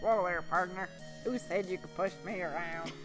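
Loud music plays in the background. Over it, a man uses a high, put-on character voice. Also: moderate pace. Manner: gruff, mocking.

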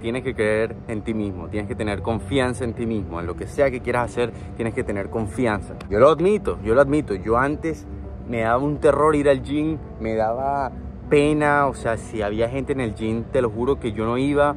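A man speaks at a moderate pace in a dry sound with no echo. Clear music plays in the background. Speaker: fitness vlogger. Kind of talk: motivational vlog talk. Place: waterside. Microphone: phone near.

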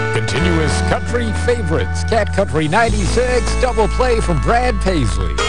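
A man talks with hardly any pauses. The sound is dry with no echo, and clear music plays in the background. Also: moderate pace. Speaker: country radio DJ. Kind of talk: radio aircheck, on-air DJ patter. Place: studio. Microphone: studio mic.

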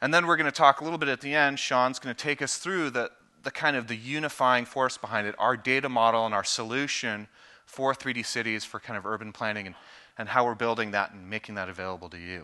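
A very fast-paced man with a bright, sharp tone, ordinary pitch variation and big swings in loudness. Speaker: presenter. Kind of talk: conference presentation. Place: stage. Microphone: headset.

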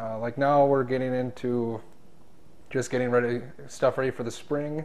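In an American accent, a man speaks at a medium pitch. His intonation stays monotone and flat. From North Dakota, rural. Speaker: diesel mechanic. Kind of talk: interview answers. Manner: halting, filler-heavy. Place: meeting room. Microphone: lapel.

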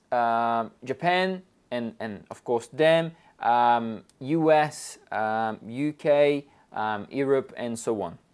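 Against a quiet background, a man speaks with lively intonation. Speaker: market analyst. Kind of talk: commentary. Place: studio. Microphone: lapel.

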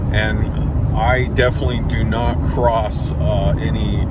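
Loud background noise accompanies a man whose voice has a dry sound with no echo. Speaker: road trip vlogger. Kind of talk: casual vlog chat. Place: car. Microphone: phone near.

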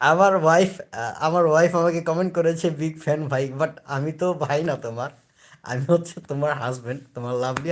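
On a very clean recording with a silent background, a man speaks in a fairly high voice with ordinary pitch variation. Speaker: new YouTuber, sales professional. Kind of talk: casual live stream chat. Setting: at home lying on bed. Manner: halting.

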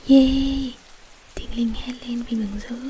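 Soft-spoken and fairly high-pitched, a woman talks in a monotone, flat delivery over light background noise. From Vietnam. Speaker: ASMR story reader. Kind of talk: ASMR bedtime story reading. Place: home room. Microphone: studio mic.

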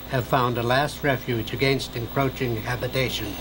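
A man speaks at a moderate pace and medium pitch in a calm tone. Noticeable background noise is present. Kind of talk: nature documentary narration. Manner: calm, measured, hushed and reverent, like a wildlife documentary narrator.

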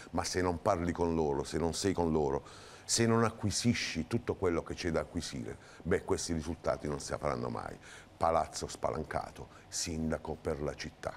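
At a moderate pace, a man speaks with vocal fry and a very deep, low pitch. His pitch varies in an ordinary way, with light background noise. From southern Italy. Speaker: mayoral candidate. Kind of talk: TV interview. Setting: TV studio. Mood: earnest political argument. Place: studio. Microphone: lapel.

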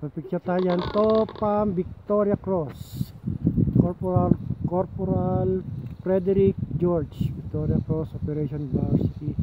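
Noticeable background noise sits behind a man speaking at a high pitch. He talks at a fairly slow pace with ordinary pitch variation. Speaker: travel vlogger. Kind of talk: casual vlog narration. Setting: outdoors on a hiking trail. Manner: halting.

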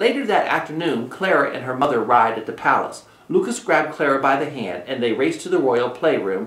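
A natural reading voice runs through the recording.

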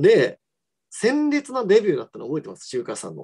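The backdrop stays quiet. A man gets through his words fairly briskly. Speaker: professional mahjong player and commentator; commentator. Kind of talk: solo live stream chat. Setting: live stream. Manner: fast. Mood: relaxed, smiling. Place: home room. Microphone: video call.

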